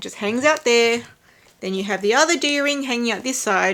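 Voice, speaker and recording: A woman speaks with a high pitch and lively intonation. She has an Australian accent. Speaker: handbag vlogger. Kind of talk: tutorial.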